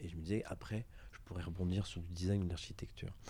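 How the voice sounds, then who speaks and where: A man's dark, mellow tone with fairly even intonation, on a very clean recording with a silent background. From western France, Angers. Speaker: entrepreneur, engineer. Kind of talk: interview testimony. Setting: office. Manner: halting, many repetitions.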